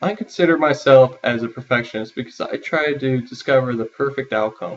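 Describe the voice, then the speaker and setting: In a plain, everyday voice, a man speaks at a fairly quick pace with medium pitch and ordinary pitch variation. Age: 20s. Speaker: university student. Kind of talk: self-interview, prepared answers. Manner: formal.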